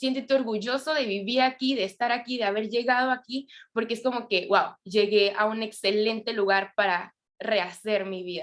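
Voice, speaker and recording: A woman is speaking at a moderate pace. Her pitch sits fairly high. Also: ordinary pitch variation. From Venezuela. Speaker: church youth volunteer. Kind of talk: testimony. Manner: hesitant, with filler sounds.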